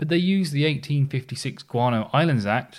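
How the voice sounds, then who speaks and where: In an ordinary speaking voice, a man talks at a fairly quick pace with ordinary pitch variation. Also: very clean recording, silent background. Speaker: podcast host. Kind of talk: history podcast narration, scripted storytelling. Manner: conversational yet polished storyteller, wry asides, steady pace.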